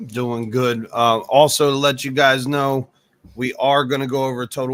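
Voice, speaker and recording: A man talks fairly quickly, the sound dry and close with no echo at all. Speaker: crypto live stream co-host. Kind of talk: casual live stream chat. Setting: live stream. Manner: casual, animated.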